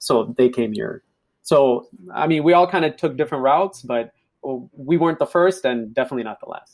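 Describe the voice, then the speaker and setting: With a plain, everyday voice, a man speaks at a fairly high pitch. His pace is fairly quick and his intonation lively. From Ethiopia, raised in US from age 9-10. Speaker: podcast guest. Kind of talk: casual chat.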